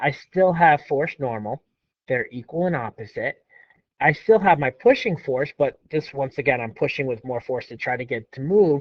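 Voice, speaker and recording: With a normal speaking voice, a man talks at a moderate pace in a fairly high pitch, his intonation lively and his loudness swinging widely. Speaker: physics teacher. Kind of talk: lecture.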